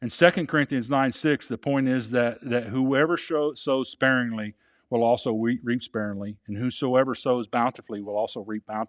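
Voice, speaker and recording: A man talks at a medium pitch with ordinary pitch variation, in an unremarkable speaking voice. The very clean recording has a silent background and a dry, close sound with no echo. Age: 60s. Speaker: pastor. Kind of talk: sermon.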